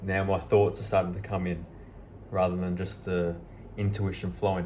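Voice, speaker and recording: A man with a very deep, low pitch and a dark, mellow tone speaks at a moderate pace, somewhat breathy and fairly even in intonation, with audible room echo. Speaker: self-help vlogger. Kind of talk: motivational monologue.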